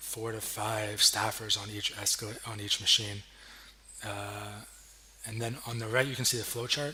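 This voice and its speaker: A man at a moderate pace, monotone and flat in intonation, over noticeable background noise. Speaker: graduate student. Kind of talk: academic project presentation. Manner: hesitant, many fillers.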